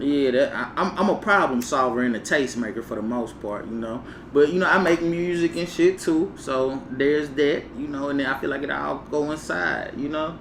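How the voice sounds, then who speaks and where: A man talks in a fairly high pitch at a moderate pace with hardly any pauses. Noticeable background noise and audible room echo surround him. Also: ordinary pitch variation. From US South, Mississippi (Vicksburg). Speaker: podcast host and cannabis reviewer. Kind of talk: casual chat.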